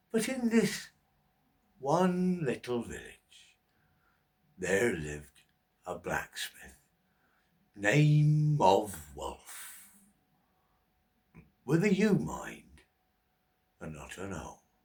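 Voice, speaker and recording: With long, frequent pauses, a man in a put-on character voice speaks at a very slow pace. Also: fairly high pitch for a man. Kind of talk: bedtime story. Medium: read story. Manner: rhythmic, wry, repetitive cadence.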